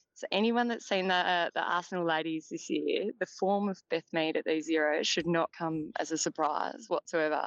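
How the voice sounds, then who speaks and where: A woman with an Australian accent at fairly low pitch, moderate pace and ordinary pitch variation, hardly any pauses, in a dry, close sound with no echo. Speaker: football journalist. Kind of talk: casual interview. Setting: phone call.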